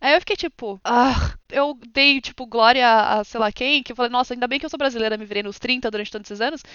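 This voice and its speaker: Talking at a fairly quick pace with hardly any pauses, a woman has a high pitch, ordinary pitch variation and big swings in loudness. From Brazil, São Paulo. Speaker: streamer and ASMR artist. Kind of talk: casual chat.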